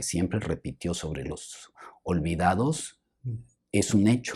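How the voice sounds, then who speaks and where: A man with a very deep, low pitch and a dark, mellow tone speaks at a very slow pace with lively intonation. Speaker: film historian and professor. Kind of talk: interview conversation. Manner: soft-spoken; hesitant, halting.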